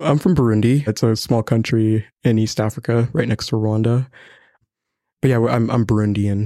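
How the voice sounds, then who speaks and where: A man speaks at a moderate pace with a dark, mellow tone, fairly even intonation and very even loudness, in a dry, close recording with no echo that is very clean, with a silent background. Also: medium pitch for a man. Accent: Canadian. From Ontario, Canada. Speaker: college student. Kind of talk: panel discussion. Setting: library studio recording.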